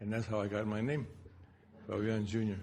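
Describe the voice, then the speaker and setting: A man with a fairly low pitch talks, and audible room echo follows his words. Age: 80s+. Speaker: speaker at memorial symposium. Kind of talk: personal reminiscence speech. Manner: halting.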